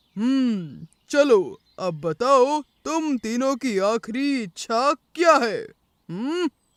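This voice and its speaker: A cartoonish character voice speaks at a fairly high pitch and a very slow pace. The recording is very clean, with a silent background. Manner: hesitant fillers, hmm and arre.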